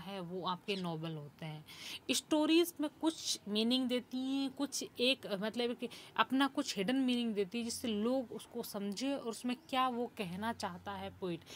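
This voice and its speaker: Lively intonation from a woman using a plain, everyday voice at a fairly high pitch. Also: hardly any pauses. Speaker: English lecturer. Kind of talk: lecture.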